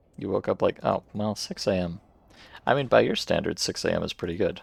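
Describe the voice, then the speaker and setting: Music plays in the background as a man with an American accent talks at a moderate pace. The sound is dry and close, with no echo. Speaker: video game streamer. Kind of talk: casual live-stream chat. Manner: casual, playful.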